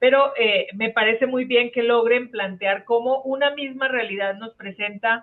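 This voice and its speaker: A woman's normal speaking voice, fairly high in pitch, at a fairly slow pace with fairly even intonation. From Colombia. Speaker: catechesis speaker, social pastoral trainer. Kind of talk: online workshop facilitation. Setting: video call.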